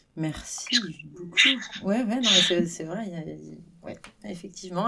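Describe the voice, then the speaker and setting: A woman is speaking. Her pitch sits fairly low. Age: 40s. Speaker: podcast host. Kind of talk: casual interview.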